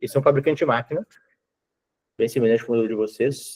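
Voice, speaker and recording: A man talks in a dark, mellow tone. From southern Brazil, Rio Grande do Sul. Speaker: IT consultant / sales. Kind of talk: sales pitch on video call.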